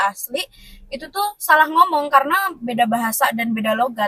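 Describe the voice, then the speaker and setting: A woman's high-pitched voice with a bright, sharp tone and lively intonation. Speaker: vlogger leading group chat. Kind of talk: casual group chat.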